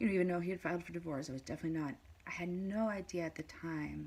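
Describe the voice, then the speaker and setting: Very fast and quiet, a woman speaks in a dark, mellow tone with fairly even intonation. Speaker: mother in custody dispute, vlogger. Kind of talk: personal testimony vlog. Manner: halting, many fillers.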